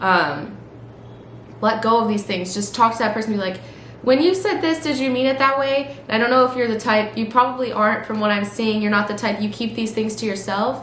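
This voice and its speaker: A woman with a fairly high pitch talks at a fairly quick pace with ordinary pitch variation. Audible room echo and noticeable background noise are present. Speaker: tarot reader. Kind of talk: tarot reading. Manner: fast; stream of consciousness, many fillers.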